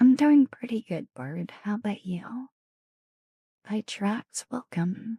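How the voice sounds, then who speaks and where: Very slow and somewhat breathy, a woman with a dark, mellow tone speaks with long, frequent pauses in a dry, close recording with no echo. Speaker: ASMR streamer. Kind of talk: live stream chat with viewers. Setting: home streaming room.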